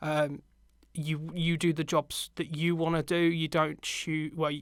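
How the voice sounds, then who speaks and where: A speaker with a British accent. The recording is very clean, with a silent background. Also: man. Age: 20s. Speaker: media production lecturer and videographer. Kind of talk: podcast interview.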